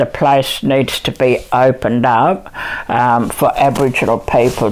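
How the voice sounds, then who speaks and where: A woman's very deep, low voice with ordinary pitch variation over noticeable background noise. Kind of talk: interview answer. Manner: hesitant, many fillers.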